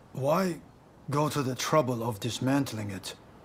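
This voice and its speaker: Using a put-on character voice at medium pitch, a man talks at a moderate pace over clear background noise. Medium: video game. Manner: curt, direct.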